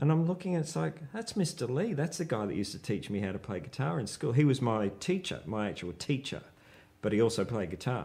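A man with a dark, mellow tone, vocal fry, very wide pitch swings and an Australian accent. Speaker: rock guitarist; guest. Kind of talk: casual chat. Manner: halting. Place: home room. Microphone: lapel.

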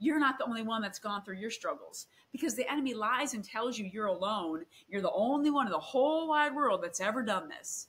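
Fairly quick and lively in intonation, a woman with an American accent talks at a fairly high pitch in a bright, sharp tone. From Michigan, Grand Rapids; Michigan. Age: 40s. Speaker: guest sharing faith testimony; guest. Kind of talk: testimony. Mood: earnest, emotional storytelling. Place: home room.

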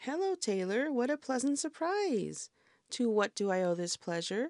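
A female-sounding put-on character voice, high in pitch, leaps through very wide pitch swings at a moderate pace. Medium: read story. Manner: gracious, polite.

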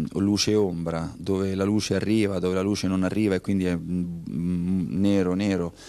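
A fairly low, dark, mellow male voice at a moderate pace. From Civitavecchia, Lazio, Italy; Lazio, Italy. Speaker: artist; interviewee. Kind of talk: interview. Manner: halting. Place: hall. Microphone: handheld.

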